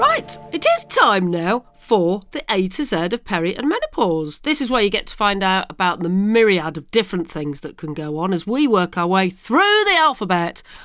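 This speaker, in a British accent, uses very wide pitch swings. Hardly any pauses break up the speech. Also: woman, medium pitch for a woman, moderate pace. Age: 50s. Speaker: podcast host. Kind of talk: casual chat.

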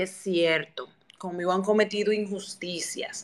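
A woman speaks at a medium pitch and a fairly slow pace. Her tone is bright and sharp. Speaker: TV presenter and communicator. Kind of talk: interview. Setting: Twitter audio space.

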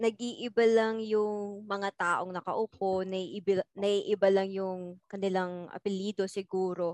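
A woman's medium-pitched, monotone, flat delivery at a very slow pace, dry and close with no echo. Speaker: university student. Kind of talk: casual chat.

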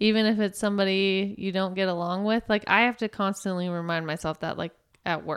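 A woman speaks at a medium pitch and a fairly quick pace in a normal speaking voice, her intonation fairly even, on a very clean recording with a silent background. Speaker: nurse. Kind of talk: casual chat.

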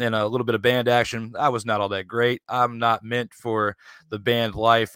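Flat and monotone, a man with an American accent speaks at a fairly low pitch in a bright, sharp tone, the sound dry and close with no echo on a very clean recording with a silent background. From Virginia, Richmond area. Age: 30s. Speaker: podcaster, sports debate show host. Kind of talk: casual chat.

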